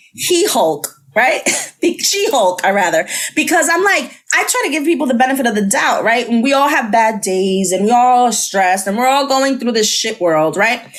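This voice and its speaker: Over noticeable background noise, a woman with a high pitch speaks at a moderate pace with very wide pitch swings and very even loudness. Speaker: podcast host. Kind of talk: casual chat.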